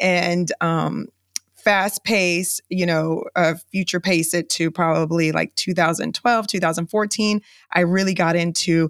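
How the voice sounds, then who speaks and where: A woman speaks in an ordinary speaking voice at a fairly low pitch and fairly slow pace, with fairly even intonation. The sound is dry and close with no echo, and the recording is very clean with a silent background. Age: 40s. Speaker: business owner. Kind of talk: interview.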